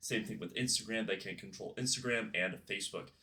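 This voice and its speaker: A man is speaking. His voice has a bright, sharp tone. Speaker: YouTube commentary creator. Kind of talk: casual commentary video. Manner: casual, with filler words and stumbles.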